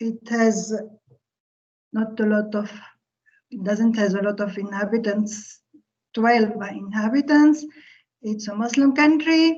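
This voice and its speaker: A woman speaks at a fairly slow pace with long, frequent pauses, in a somewhat breathy voice at a fairly high pitch. Her pitch variation is ordinary, and the background is quiet. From Tunisia. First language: Arabic. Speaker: physics professor. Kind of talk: lecture. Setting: online video call. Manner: halting. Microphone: video call.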